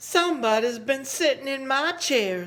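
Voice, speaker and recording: A man does a put-on character voice at an extremely high pitch. He keeps a moderate pace. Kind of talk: bedtime story. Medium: read story.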